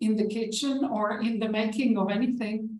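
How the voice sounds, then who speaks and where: The woman's voice is fairly high and her pace fairly slow, with audible room echo. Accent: non-native. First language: not English. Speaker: author and organization development practitioner. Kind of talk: online panel discussion.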